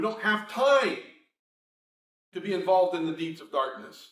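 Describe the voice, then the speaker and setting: Here a man is speaking. Audible room echo hangs around his voice. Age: 60s. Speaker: preacher. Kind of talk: sermon.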